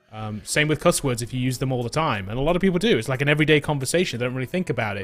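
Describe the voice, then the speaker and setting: This man talks very fast with an English accent. His voice sits at a medium pitch, and his intonation is lively. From England. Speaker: coding bootcamp instructor. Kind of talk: casual chat.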